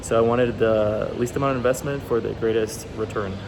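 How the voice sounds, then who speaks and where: Very fast pace amid noticeable background noise and audible room echo. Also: man. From Guatemala. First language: Spanish. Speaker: university student. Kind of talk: class presentation speech. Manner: hesitant, with fillers.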